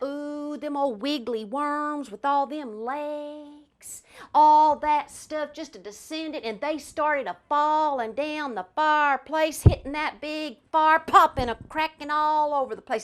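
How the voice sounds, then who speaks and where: Spoken at a fairly slow pace with an Appalachian accent, the voice has ordinary pitch variation and big swings in loudness over a quiet background. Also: woman, high pitch for a woman. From Kentucky, Appalachia. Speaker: storyteller. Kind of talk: folk tale storytelling performance.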